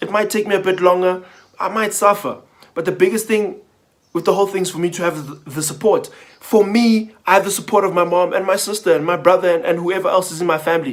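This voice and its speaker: A man speaks at a very fast pace. His pitch is high, with ordinary variation. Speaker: motivational vlogger. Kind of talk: casual monologue. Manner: stuttering.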